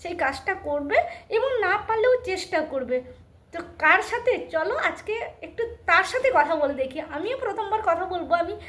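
A woman's extremely high-pitched voice moves through very wide pitch swings. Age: 60s. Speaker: lifestyle vlogger. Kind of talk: casual vlog talk to camera and chat with voice assistant.

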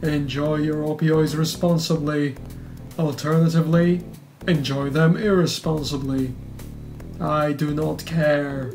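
A put-on character voice at a middle pitch speaks fairly slowly while music plays clearly in the background. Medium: game stream. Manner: formal, clipped, prim.

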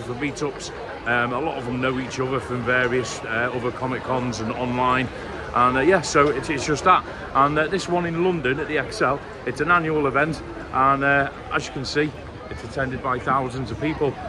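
A man talks at a fairly quick pace with fairly even intonation. Noticeable background noise sits behind him. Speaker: vlogger. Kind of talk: casual vlog chat. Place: street. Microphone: phone near.

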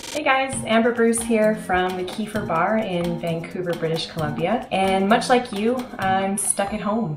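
A woman at a moderate pace with ordinary pitch variation, with clear music in the background. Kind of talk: tutorial. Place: kitchen. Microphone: camera far.

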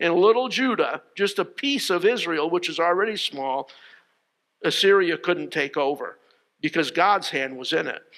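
A man with an American accent talks at a moderate pace in a high pitch, with lively intonation and a bright, sharp tone. The background is quiet. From Connecticut, US. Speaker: pastor; preacher. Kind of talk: sermon. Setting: church, streamed online with no congregation. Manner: halting, frequent fillers and repeated words. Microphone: headset.

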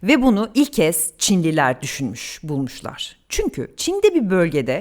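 At a fairly slow pace, a woman speaks at a medium pitch with very wide pitch swings. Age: 40s. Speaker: news presenter and children's author. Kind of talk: interview with school children. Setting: school podcast recording.

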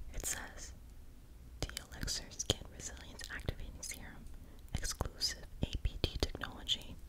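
A woman whispers, leaving long pauses again and again. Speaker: ASMR creator. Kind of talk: ASMR product show and tell. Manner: whispered; slow. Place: home room. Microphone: studio mic.

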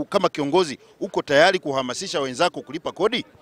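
The recording is dry and close with no echo as a high-pitched man talks at a very fast pace with ordinary pitch variation. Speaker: TV presenter. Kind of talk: TV field reporting and interview. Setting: on location around the city.

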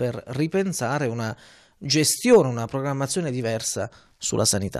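A man is talking here. His intonation is lively over a quiet background. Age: young. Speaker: TV host. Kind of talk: TV interview. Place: home room. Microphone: handheld.

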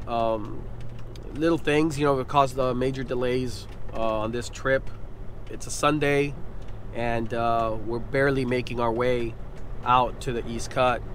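A man speaks at a fairly slow pace in a monotone, flat intonation, with long, frequent pauses. The sound is dry with no echo, over light background noise. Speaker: fishing vlogger. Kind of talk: casual vlog chat. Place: car. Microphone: phone near.

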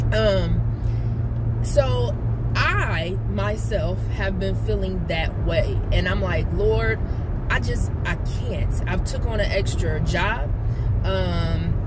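Loud background noise surrounds a woman's voice. She speaks very slowly with ordinary pitch variation. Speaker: life coach. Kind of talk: casual inspirational vlog talk. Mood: earnest, encouraging. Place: car.

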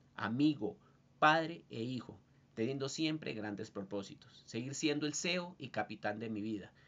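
A man with a Bogotá accent speaks with lively intonation. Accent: Bogotá Colombian Spanish. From Colombia, Bogotá. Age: 30s. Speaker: student and industrial designer. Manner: formal. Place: home room. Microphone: webcam.

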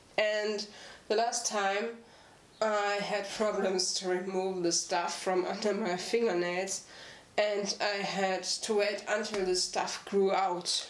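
In a room with audible echo and light background noise, a woman speaks very slowly in a monotone, flat intonation at very even loudness. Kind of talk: tutorial. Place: home room.

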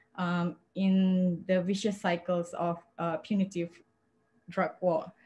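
Very slow and somewhat breathy, this voice has a dark, mellow tone. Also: woman. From Malaysia. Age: 40s. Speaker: advocate for people who use drugs; panelist. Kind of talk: panel talk, personal testimony. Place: home room. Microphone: webcam.

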